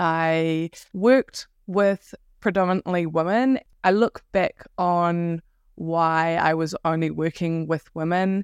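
A woman with a New Zealand accent talks at a very slow pace and a fairly low pitch. Her intonation is fairly even, and the sound is dry and close with no echo. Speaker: self-worth coach. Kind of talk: casual interview chat.

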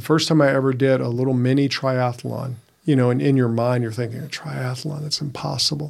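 The speaker moves at a fairly quick pace in a monotone, flat intonation. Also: man. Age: 50s. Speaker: podcast co-host, men's coach. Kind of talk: casual chat.

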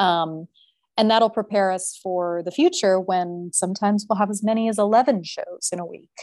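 On a very clean recording with a silent background, a woman with an American accent uses an ordinary speaking voice, medium in pitch, with fairly even intonation at a moderate pace. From US Southwest, New Mexico. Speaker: circus singer. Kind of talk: interview.

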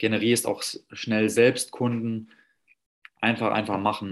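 The man talks very slowly. His voice is medium in pitch. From Saarland, Germany. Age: 30s. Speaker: personal trainer. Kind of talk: interview. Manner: hesitant, many fillers.

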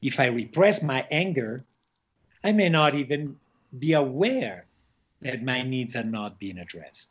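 A man with a medium-pitched voice talks at a fairly slow pace, leaving long, frequent pauses. His pitch swings very widely and his loudness rises and falls sharply, all against a quiet background. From Switzerland, of Spanish parents, raised all over the world. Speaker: shaman and plant medicine facilitator. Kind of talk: interview conversation.

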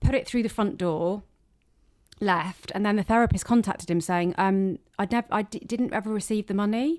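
Here a woman speaks with a British accent. Her pitch variation is ordinary. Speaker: comedian. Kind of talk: casual chat interview. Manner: sarcastic-sounding tone.

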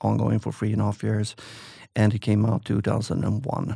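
With a Swedish accent, a man speaks in a dry, close recording with no echo. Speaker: author and entrepreneur. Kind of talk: interview conversation. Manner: halting.

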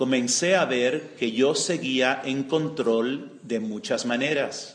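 Speaking in an unremarkable speaking voice, a man keeps a medium pitch with ordinary variation. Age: 60s. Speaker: retreat speaker giving a spiritual talk. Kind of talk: spiritual testimony.

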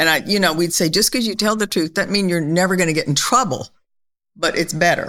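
Using a normal speaking voice, a woman talks at a fairly quick pace and medium pitch, with ordinary pitch variation and very even loudness. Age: 60s. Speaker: host's mother. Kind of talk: casual chat.

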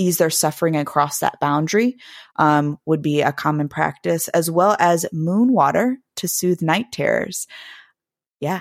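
In an American accent, a woman with an unremarkable speaking voice talks fairly slowly at a fairly low pitch with ordinary pitch variation. The sound is dry and close with no echo, on a very clean recording with a silent background. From Blue Ridge Mountains, Virginia/West Virginia border. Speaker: podcast host, practicing witch. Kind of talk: casual chat.

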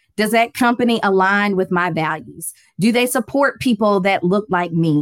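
A woman with an unremarkable speaking voice talks at a moderate pace, her fairly high pitch carried by lively intonation. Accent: American. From US South, Atlanta, Georgia. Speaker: finance educator and accountant. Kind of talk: interview.

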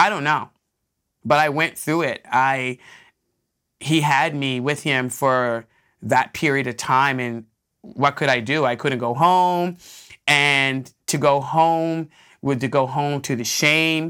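Very slow and marked by long, frequent pauses, a woman's very deep, low voice shows ordinary pitch variation in a very clean recording with a silent background. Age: 50s. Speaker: podcast host and nonprofit founder. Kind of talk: personal testimony. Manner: halting, with many fillers and repetitions.

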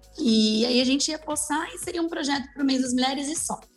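Ordinary pitch variation from a woman, with noticeable background noise. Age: 20s. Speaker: makeup artist. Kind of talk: casual chat.

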